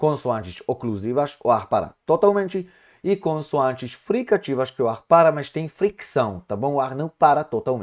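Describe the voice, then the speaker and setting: This male voice has a fairly high pitch and swings very widely up and down, delivered at a moderate pace. The recording is very clean, and the background is completely silent. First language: Hebrew (speaking Portuguese). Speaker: Hebrew teacher. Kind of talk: lecture. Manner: halting.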